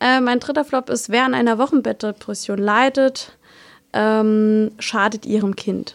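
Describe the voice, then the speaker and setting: A woman with fairly high pitch speaks slowly in an unremarkable speaking voice, her pitch varying in an ordinary way. Her loudness stays very even, and the sound is dry and close with no echo. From Palatinate, Germany (Kusel). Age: 20s. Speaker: midwife. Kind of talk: casual interview.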